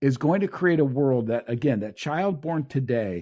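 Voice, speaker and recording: Fairly high male pitch with very wide swings, a dark, mellow tone, a moderate pace, and a very clean recording over a silent background. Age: 60s. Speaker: show host and speaker on future technology. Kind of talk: solo monologue on technology trends. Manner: halting with self-corrections.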